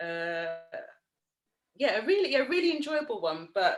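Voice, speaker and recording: This woman has a London accent and a lively intonation. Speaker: yoga teacher and writer. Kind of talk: interview. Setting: video call.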